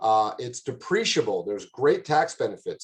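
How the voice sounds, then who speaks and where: Somewhat breathy and at a medium pitch, a man speaks with lively intonation. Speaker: commercial real estate director. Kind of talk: presentation. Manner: fast.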